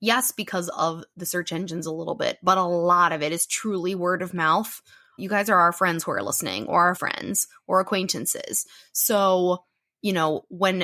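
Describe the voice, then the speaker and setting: With a bright, sharp tone, a woman speaks at medium pitch and a moderate pace, her intonation fairly even, on a very clean recording with a silent background and a dry, close sound with no echo. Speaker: science and nature podcast co-host. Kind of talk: casual chat.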